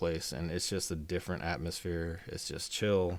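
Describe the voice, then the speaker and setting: This man has a Texas accent. The recording is very clean, with a silent background. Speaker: podcast co-host. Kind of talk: casual chat. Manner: halting, repetitive stammering.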